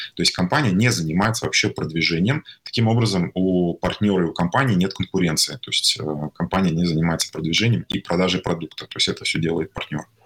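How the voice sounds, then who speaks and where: A man with a very deep, low pitch talks at a very fast pace. The sound is dry and close with no echo, yet noticeable background noise is present. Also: ordinary pitch variation. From Tatarstan, Russia (small town, then Kazan). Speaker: tech company CEO. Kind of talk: interview. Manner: halting, many fillers.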